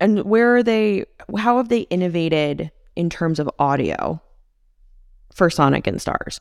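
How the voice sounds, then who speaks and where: A woman with a fairly low voice speaks at a fairly slow pace with lively intonation, leaving long, frequent pauses, in a dry, close sound with no echo. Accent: American. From US Midwest (McHenry County, Illinois). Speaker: podcast host. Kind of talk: casual interview.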